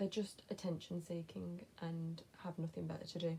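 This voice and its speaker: A woman with a dark, mellow tone and a somewhat breathy voice talks at a moderate pace. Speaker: lifestyle vlogger. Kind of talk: casual chat. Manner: hesitant fillers.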